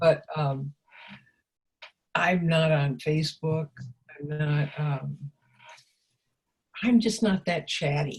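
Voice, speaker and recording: This woman's voice is somewhat breathy and very deep and low, with ordinary pitch variation, a very slow pace and long, frequent pauses. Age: 80s+. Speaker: life coach and teacher. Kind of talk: interview. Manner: halting.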